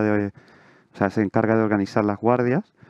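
Over a quiet background, a man talks with fairly even intonation in a dry sound with no echo. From Chile. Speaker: surgical resident. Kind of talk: Q&A answers. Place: hall.

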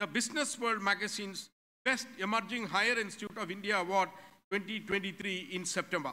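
With a bright, sharp tone, a man talks in a raised, projected voice at a moderate pace. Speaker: university head giving report. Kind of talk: formal ceremonial speech. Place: hall. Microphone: podium.

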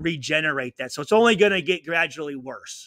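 With an American accent, a man speaks in a high pitch with a bright, sharp tone, ordinary pitch variation and a moderate pace, the sound dry with no echo and the background quiet. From US Midwest. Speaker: retired pro football player; podcast guest. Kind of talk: interview. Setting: video call. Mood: earnest, reflective. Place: home room. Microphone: studio mic.

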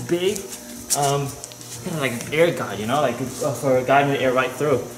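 A man speaks fairly quickly, and noticeable background noise can be heard. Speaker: car enthusiast vlogger. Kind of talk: casual vlog chat. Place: workshop. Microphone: phone near.

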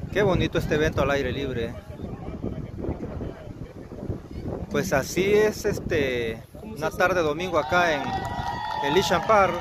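Loud background noise surrounds a man speaking at a very slow pace with long, frequent pauses. The sound itself is dry, with no echo. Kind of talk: casual vlog commentary. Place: open country. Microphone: phone near.

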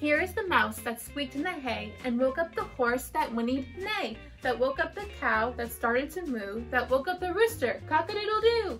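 A woman at a moderate pace over faint background music. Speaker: school teacher. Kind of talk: read-aloud storytelling. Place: home room. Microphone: camera far.

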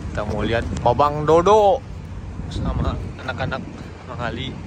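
There is noticeable background noise, though the sound is dry with no echo. A man talks at a moderate pace. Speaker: vlogger. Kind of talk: casual vlog chat. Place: stadium. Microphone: phone near.

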